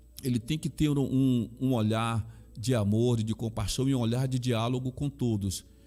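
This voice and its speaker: Over music in the background, a man with a Bahian accent speaks at a moderate pace and medium pitch, his intonation fairly even and his loudness very even. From Brazil, Bahia (Salvador). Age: 60s. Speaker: pastor and chaplain. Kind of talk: interview testimony.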